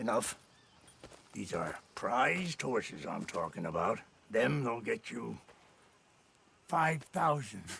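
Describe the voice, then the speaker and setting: Putting on a raspy character voice, the speaker goes fairly slowly with long, frequent pauses. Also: man, medium pitch for a man. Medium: video game. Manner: erratic, suspicious.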